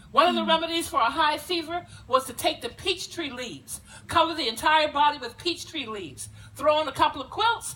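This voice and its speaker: With an American accent, a woman projects a raised voice at a high pitch and a fairly quick pace, her tone animated and her loudness swinging widely over noticeable background noise. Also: lively intonation. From South Carolina Lowcountry, Gullah community. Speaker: historical presenter. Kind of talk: dramatic presentation. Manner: animated, storytelling.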